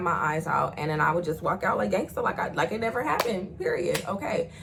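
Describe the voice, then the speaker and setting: There is noticeable background noise. A woman with a fairly low pitch talks at a very fast pace. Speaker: YouTuber telling personal stories. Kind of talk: storytime monologue. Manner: loud; animated.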